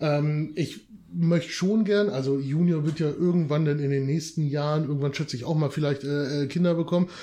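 Pitched fairly high, a man's dark, mellow voice moves at a moderate pace with fairly even intonation. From northern Germany, Lower Saxony. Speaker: podcast guest. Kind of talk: casual chat.

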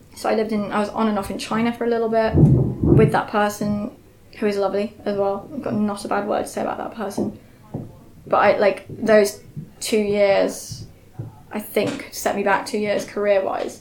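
Noticeable background noise sits under a woman's medium-pitched voice. She keeps a moderate pace and fairly even intonation. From Yorkshire, England. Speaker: theatre director. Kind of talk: casual interview chat. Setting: meeting room in a shop.

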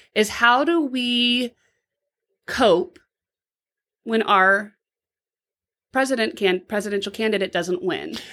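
A woman speaks at a fairly high pitch with lively intonation and a bright, sharp tone. The recording is very clean, with a silent background. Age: 40s. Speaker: podcast co-host on therapy. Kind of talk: casual chat.

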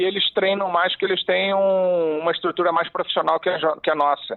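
Speech comes at a moderate pace with fairly even intonation. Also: man. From Rio de Janeiro, Brazil. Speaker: former football referee, refereeing commentator. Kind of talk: interview.

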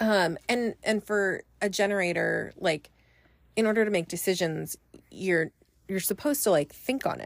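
A woman talks in an ordinary speaking voice at medium pitch and a moderate pace, with ordinary pitch variation. The sound is dry and close, with no echo. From US West Coast, Northern California (Bay Area). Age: 30s. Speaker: manager. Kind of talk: casual chat. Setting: recorded in a closet at home.

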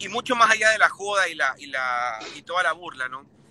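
An animated man speaks at a high pitch with lively intonation. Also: dry, close sound with no echo. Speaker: football pundit. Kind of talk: casual chat.

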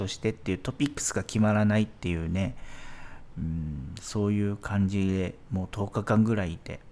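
A man's fairly low voice moves along at a moderate pace. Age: 40s. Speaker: podcast host, expat office worker. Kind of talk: solo podcast monologue. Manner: hesitant, many fillers.

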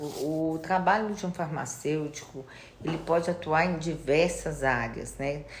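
A woman with a very deep, low pitch speaks at a very slow pace, showing ordinary pitch variation amid audible room echo. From Minas Gerais, Brazil (Itabira area, Belo Horizonte). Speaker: pharmacist. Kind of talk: interview.

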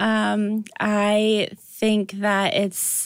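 On a very clean recording with a silent background, a woman speaks with a Midwestern American accent. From Iowa (Dubuque). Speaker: breast cancer survivor, nonprofit founder. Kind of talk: interview.

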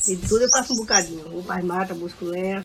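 A woman with a medium-pitched voice talks over noticeable background noise. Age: 70s. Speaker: retired fisherwoman. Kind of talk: casual interview.

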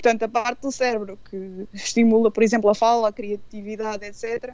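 A woman with a fairly high pitch. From Portugal, Anadia (Aveiro district). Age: 40s. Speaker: radio presenter and blogger. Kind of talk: radio interview. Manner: halting, with many fillers.

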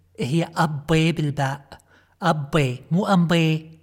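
A woman speaks in a Kuwaiti accent at a fairly low pitch. Her voice is somewhat breathy, with ordinary pitch variation. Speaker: podcast host. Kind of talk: comedic monologue. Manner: animated.

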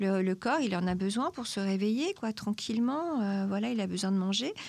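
Lively intonation and a moderate pace from a woman with a plain, everyday voice. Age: 50s. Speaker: nutritionist. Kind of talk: expert interview answering questions.

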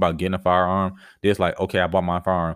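Very deep and low, a man's voice moves at a very fast pace. The recording is very clean, with a silent background. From Florida, Tampa Bay area. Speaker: podcast host. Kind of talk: solo monologue podcast. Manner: casual, filler-heavy.

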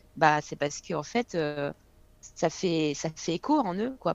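The speech is fairly slow. Its intonation is lively. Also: woman. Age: 20s. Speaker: fitness coach. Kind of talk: casual chat.

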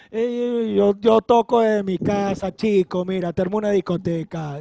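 A man with a Caracas accent speaks at a fairly slow pace with ordinary pitch variation, recorded in a dry, close sound with no echo. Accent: Venezuelan Spanish (Caracas). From Venezuela, Caracas. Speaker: DJ. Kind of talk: casual chat. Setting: video call. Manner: animated.

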